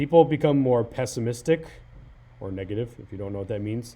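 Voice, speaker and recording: A man speaks in a dark, mellow tone that is somewhat breathy. His pitch varies in an ordinary way. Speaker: high school teacher. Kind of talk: tutorial. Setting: screen recording on a laptop. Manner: fast; hesitant, many fillers.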